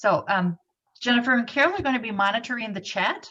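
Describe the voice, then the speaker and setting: A woman speaking at a fairly quick pace. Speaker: university instructor and textbook co-author. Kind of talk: webinar presentation. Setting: video call. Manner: fast.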